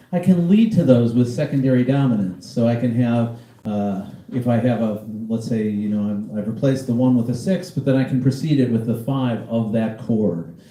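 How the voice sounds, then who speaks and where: Amid noticeable background noise and audible room echo, a man of medium pitch speaks at a moderate pace with ordinary pitch variation. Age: 60s. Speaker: jazz pianist teaching a masterclass. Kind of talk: lecture.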